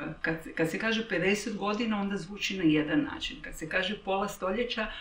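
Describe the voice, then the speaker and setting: A woman speaks with lively intonation amid noticeable background noise and audible room echo. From Croatia. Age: 60s. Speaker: interviewee. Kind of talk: personal interview. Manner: reflective, halting.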